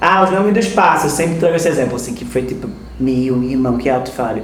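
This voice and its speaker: Noticeable background noise, audible room echo, and a male voice with ordinary pitch variation. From Recife, Pernambuco (Northeast Brazil). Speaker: frevo dancer and dance researcher. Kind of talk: interview.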